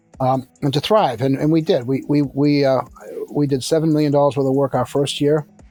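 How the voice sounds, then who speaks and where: With music in the background, a man with an American accent speaks at a fairly quick pace and fairly high pitch, his intonation fairly even and his loudness very even. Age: 60s. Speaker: construction company founder. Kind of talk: podcast interview. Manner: halting, many restarts.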